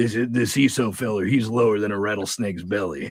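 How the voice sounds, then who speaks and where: Putting on a raspy character voice, a man speaks at a very fast pace with a fairly low pitch and ordinary pitch variation. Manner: weird, exaggerated.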